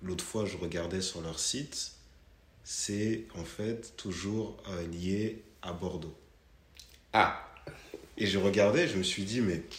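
The speech moves at a very slow pace with long, frequent pauses, sounding somewhat breathy with ordinary pitch variation and audible room echo. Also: man, fairly low pitch for a man. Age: 30s. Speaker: podcast host. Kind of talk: casual chat.

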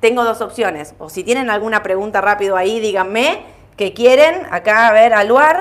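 A woman talks with lively intonation. It is an ordinary speaking voice. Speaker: stock market show host. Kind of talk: market commentary livestream.

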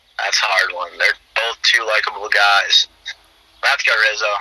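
A man with an American accent keeps a moderate pace, with noticeable background noise behind him. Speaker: college baseball player. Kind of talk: interview.

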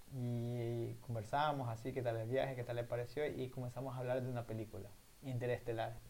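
The man's voice sits at a medium pitch and is somewhat breathy. He talks at a fairly quick pace with monotone, flat intonation. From southern Ecuador (El Oro). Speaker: podcast co-host, university student. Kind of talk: casual chat.

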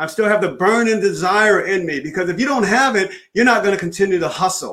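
Using ordinary pitch variation, a man with an American accent speaks at a high pitch. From US Northeast. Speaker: sales trainer and speaker. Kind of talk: casual interview. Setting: video call. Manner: halting.

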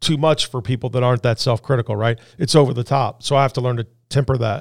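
This man has a plain, everyday voice at a medium pitch, with fairly even intonation. The very clean recording has a silent background and a dry, close sound with no echo. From Indianapolis, US Midwest. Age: 50s. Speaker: business owner. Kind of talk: interview.

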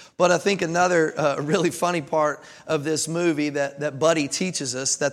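With a Kentucky accent and an animated tone, the speaker goes at a moderate pace on a very clean recording with a silent background. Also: man. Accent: Kentucky Southern American. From Kentucky, US. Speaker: pastor. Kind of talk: sermon. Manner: animated, conversational with frequent repetitions.

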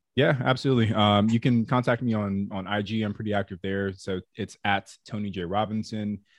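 A man with a normal speaking voice talks in a fairly low pitch with an American accent, hardly pausing at all. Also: fairly even intonation, fairly quick pace. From Southern California. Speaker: real estate investor and podcast co-host. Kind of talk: interview conversation.

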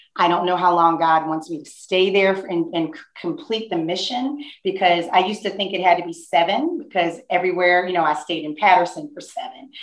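A woman with an American accent has an unremarkable speaking voice, fairly low in pitch with ordinary pitch variation. She talks at a fairly quick pace with hardly any pauses. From New Jersey, near Newark. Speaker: school principal. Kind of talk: interview.

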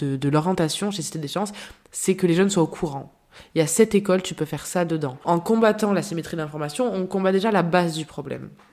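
Pitch rises and falls in an ordinary way. The voice carries a dark, mellow tone. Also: woman. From France, Marseille. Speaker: association public relations director. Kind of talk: interview. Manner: hesitant, frequent repetitions.

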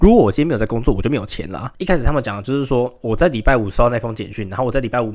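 Speaking at a very fast pace, a man rattles through his words. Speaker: podcast host, university student. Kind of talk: solo monologue podcast. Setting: recorded late at night at home.

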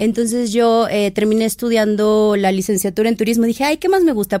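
Fairly high female speech at a fairly quick pace. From Mexico, southern Veracruz coast. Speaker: fashion stylist. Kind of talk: casual interview chat.

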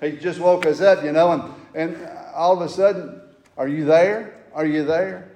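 Noticeable background noise sits behind a loud man who speaks at a high pitch with a Southern US accent. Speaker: fill-in preacher. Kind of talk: sermon. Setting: church.

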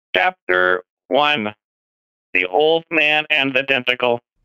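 A man puts on a character voice. His pitch is medium and his pace fairly slow.

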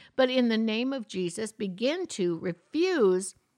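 Lively intonation marks this woman's speech. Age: 60s. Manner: animated.

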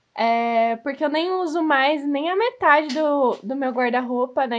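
A woman speaks at a moderate pace. Her voice is high, with ordinary pitch variation. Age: 20s. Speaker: podcast co-host, fashion and beauty journalist. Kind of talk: casual chat.

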